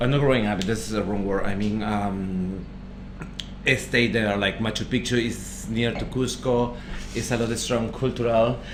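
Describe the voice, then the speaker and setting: Audible room echo surrounds a speaker with a Peruvian accent. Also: man, medium pitch for a man, fairly even intonation, moderate pace. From northern Peru (Trujillo, Negritos). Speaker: chef, restaurant podcast co-host. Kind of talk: casual chat.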